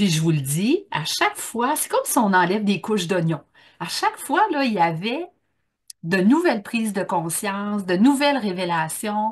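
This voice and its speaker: A woman with a Quebec accent speaks at a moderate pace in a medium pitch, somewhat breathy. Her pitch swings very widely. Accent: Québécois. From Quebec, Bas-Saint-Laurent. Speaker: workshop trainer. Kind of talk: online conference talk. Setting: Zoom video call. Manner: casual, with many fillers.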